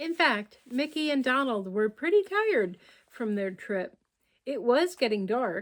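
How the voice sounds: Lively intonation marks a natural reading voice, heard against a quiet background.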